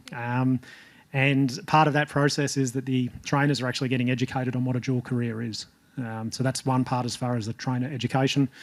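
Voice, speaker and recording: Speaking at a fairly quick pace, a man with an Australian accent has a medium pitch and monotone, flat intonation. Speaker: jockey coach. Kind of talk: panel discussion report-back. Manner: hesitant, many fillers.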